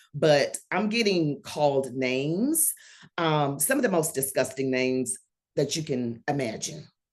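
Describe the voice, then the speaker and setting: Her pitch very deep and low, a woman speaks in a Southern US accent at a fairly slow pace with ordinary pitch variation. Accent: Southern drawl. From Georgia, US South. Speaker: online political commentator. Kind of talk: casual chat.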